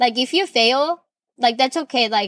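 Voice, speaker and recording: A woman with a Korean accent speaks with lively intonation in a dry, close sound with no echo. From South Korea. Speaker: podcast host. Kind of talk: personal monologue.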